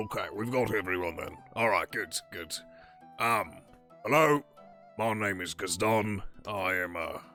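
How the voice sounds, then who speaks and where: Loud and fairly low-pitched, a man performs a put-on character voice at a moderate pace with long, frequent pauses, over clear music in the background. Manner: yelling to gather a crowd.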